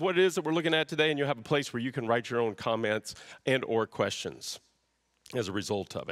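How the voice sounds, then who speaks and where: Very fast speech over a quiet background. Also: man. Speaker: pastor. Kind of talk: sermon. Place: church. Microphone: headset.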